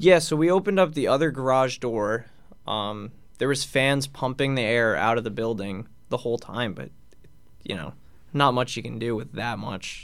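An unremarkable speaking voice from a man, medium in pitch, with lively intonation at a moderate pace. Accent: American. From Long Island, New York. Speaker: college hockey captain. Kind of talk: radio interview.

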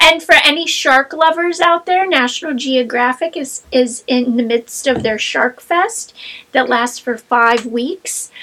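A woman with an American accent speaks at a fairly slow pace in a raised, projected voice, her high pitch carried by lively intonation. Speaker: podcast co-host, librarian. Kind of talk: casual chat.

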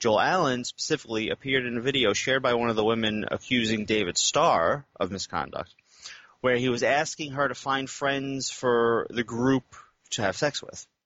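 A man with an American accent has a plain, everyday voice at a medium pitch. He keeps a moderate pace, with ordinary pitch variation. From United States. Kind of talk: casual banter.

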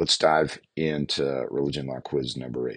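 With fairly even intonation, a man talks in a very deep, low pitch. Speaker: podcast host, law educator. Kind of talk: solo podcast quiz explanation. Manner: halting, many fillers.

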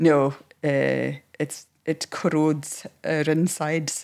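A woman with a Hebridean accent. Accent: Hebridean Scottish. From Scotland, Isle of Lewis. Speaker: counsellor. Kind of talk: interview.

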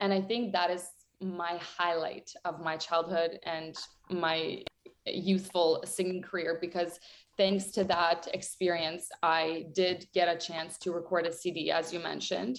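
A woman speaks with a Ukrainian accent. Her voice is fairly low in pitch and her pace fairly slow. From western Ukraine, near Ternopil. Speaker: singer. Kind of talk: interview.

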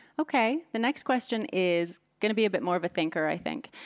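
Fairly quick and with lively intonation, a woman speaks in a plain, everyday voice. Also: very clean recording, silent background. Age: 40s. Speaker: podcast host and poker interviewer. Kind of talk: interview.

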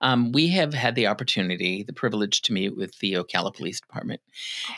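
In a dry, close recording with no echo, a man with an American accent talks very fast at a medium pitch, his intonation lively. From Massachusetts. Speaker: interpreting company executive. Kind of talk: interview. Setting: studio.

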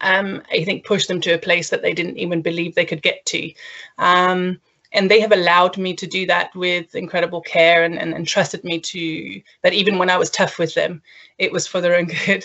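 Monotone, flat intonation from a woman at a medium pitch and moderate pace. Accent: Danish. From Denmark. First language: Danish. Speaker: learning and development consultant. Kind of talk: casual interview.

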